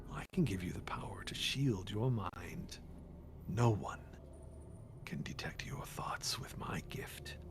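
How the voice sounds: Over loud background noise, a man uses a put-on character voice at a fairly low pitch, speaking at a fairly slow pace with long, frequent pauses.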